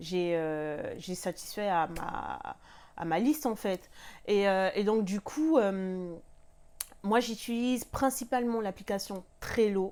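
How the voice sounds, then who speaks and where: The delivery is very slow, with lively intonation. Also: woman. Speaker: lifestyle vlogger. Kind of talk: casual tutorial vlog. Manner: hesitant, many fillers. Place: home room.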